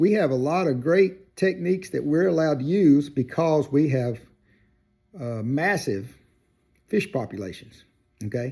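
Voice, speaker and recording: Heard on a very clean recording with a silent background, a man with a Southern US accent talks at a fairly slow pace in a fairly high voice with very wide pitch swings. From US South, Georgia. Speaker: outdoors video creator. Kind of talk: casual opinion monologue. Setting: workshop. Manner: hesitant with fillers and repeats.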